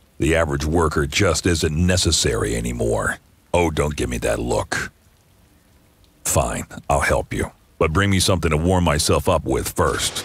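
Using a raspy, put-on character voice with a very deep, low pitch, a man speaks at a moderate pace with ordinary pitch variation. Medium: game stream. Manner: sardonic, grumbling.

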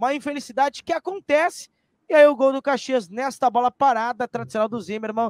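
A man with a Brazilian accent speaks at a moderate pace, the sound dry with no echo and the background quiet. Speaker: sports commentator. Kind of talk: live sports commentary. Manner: excitable, loud. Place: home room. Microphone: studio mic.

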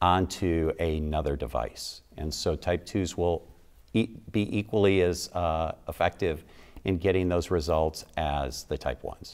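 A man's very deep, low voice with vocal fry, ordinary pitch variation and long, frequent pauses, set against a quiet background. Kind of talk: interview answer. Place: studio. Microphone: lapel.

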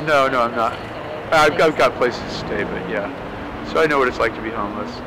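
There is noticeable background noise. A man with an American accent talks at a fairly quick pace with ordinary pitch variation. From Southern California. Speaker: street musician, violinist. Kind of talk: interview answer. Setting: outdoors. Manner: casual, hesitant. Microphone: lapel.

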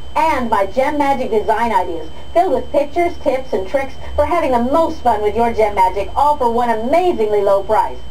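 A woman's high-pitched, upbeat, enthusiastic voice at a fairly quick pace, with lively intonation and noticeable background noise. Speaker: infomercial host. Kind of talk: infomercial sales pitch.

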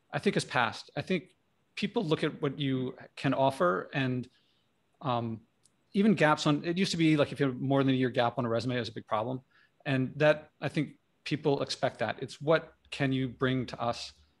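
An unremarkable speaking voice from a man with an American accent, medium in pitch, with ordinary pitch variation and a moderate pace. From Philadelphia area, US. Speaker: career coach and leadership teacher. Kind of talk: panel discussion. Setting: video call, firehouse noise behind.

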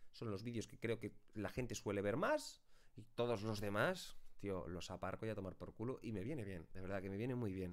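This man talks at a fairly quick pace. Pitch variation is ordinary. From Spain. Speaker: YouTuber and streamer; YouTuber, streamer. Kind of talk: casual talk to camera, answering viewer questions. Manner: chatty, long-winded. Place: home room.

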